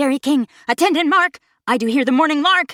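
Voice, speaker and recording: A woman in a high-pitched, put-on character voice at a fairly quick pace. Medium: read story.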